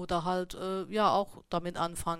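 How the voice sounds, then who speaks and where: A woman's voice at a medium pitch. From Saarland, Germany. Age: 40s. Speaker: beekeeper and shop owner. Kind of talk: interview. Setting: studio. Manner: hesitant, many fillers.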